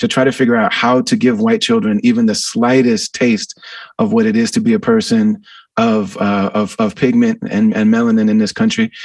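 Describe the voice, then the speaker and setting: This man keeps a fairly quick pace. Noticeable background noise sits behind his voice. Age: 40s. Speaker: podcast host. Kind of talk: interview.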